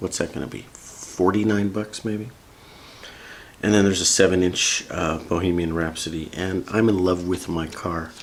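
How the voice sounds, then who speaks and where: Against noticeable background noise, a man with a very deep, low pitch speaks at a moderate pace with fairly even intonation. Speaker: vinyl record YouTuber. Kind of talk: casual review rundown. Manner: casual, chatty.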